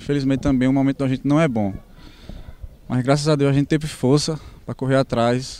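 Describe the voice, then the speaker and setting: A man's dark, mellow tone at a very fast pace, with fairly even intonation and a dry sound with no echo. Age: 20s. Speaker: footballer. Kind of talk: post-match interview. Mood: calm, slightly disappointed. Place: stadium. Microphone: handheld.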